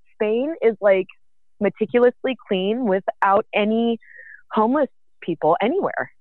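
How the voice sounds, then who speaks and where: With a Californian accent, a woman speaks at a fairly high pitch with lively intonation and long, frequent pauses. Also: moderate pace. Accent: Californian American. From San Francisco Bay Area, US. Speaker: cannabis entrepreneur. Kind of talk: casual interview chat.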